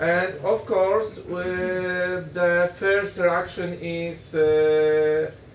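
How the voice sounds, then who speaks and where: A man with a Polish accent speaks at a high pitch with ordinary pitch variation, amid noticeable background noise and audible room echo. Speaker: politician. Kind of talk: panel discussion. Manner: halting.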